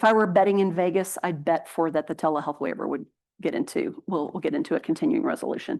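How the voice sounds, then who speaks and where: Speaking at a very fast pace, a woman with a medium pitch moves through very wide pitch swings. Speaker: healthcare policy speaker. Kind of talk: conference presentation Q&A. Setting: conference stage with audience, streamed on Zoom.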